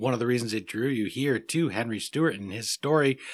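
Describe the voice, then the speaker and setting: A man with an American accent and an unremarkable speaking voice talks at a medium pitch on a very clean recording with a silent background. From United States. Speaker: podcast host. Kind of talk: interview.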